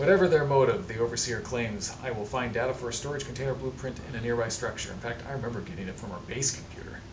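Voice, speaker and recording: Here a man talks at a fairly quick pace. Both background noise and room echo are noticeable. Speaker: gaming video creator. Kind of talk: let's play commentary. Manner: fast; stumbling over words.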